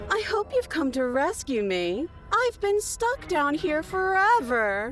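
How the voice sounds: A put-on character voice with an extremely high pitch moves at a fairly slow pace. Clear music plays in the background.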